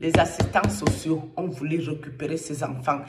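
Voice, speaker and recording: A woman with a very deep, low pitch speaks at a very slow pace. Room echo is audible. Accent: Cameroonian. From Cameroon. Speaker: online commentator. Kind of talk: angry rant to camera. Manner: animated.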